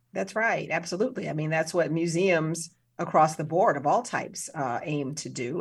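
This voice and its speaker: A woman with an American accent speaks at a moderate pace, her pitch very deep and low with ordinary variation. The recording is very clean, with a silent background. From US Midwest, South Side of Chicago. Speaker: museum director and film professor. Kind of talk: interview.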